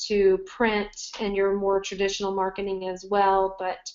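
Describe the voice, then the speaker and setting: A woman with a Southern US accent. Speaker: marketing agency owner. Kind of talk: webinar presentation. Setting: online webinar.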